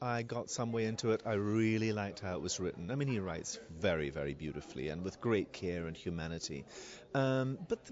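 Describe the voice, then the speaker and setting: One man speaks at a fairly quick pace. Light background noise is present, and the sound is dry with no echo. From Scotland. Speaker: theatre director. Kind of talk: interview. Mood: thoughtful, earnest. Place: shop. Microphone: handheld.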